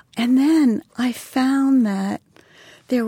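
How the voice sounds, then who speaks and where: A woman's somewhat breathy voice, dark and mellow in tone, with ordinary pitch variation, dry and close with no echo, on a very clean recording with a silent background. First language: Polish. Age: 60s. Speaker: brand designer and author. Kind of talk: interview conversation.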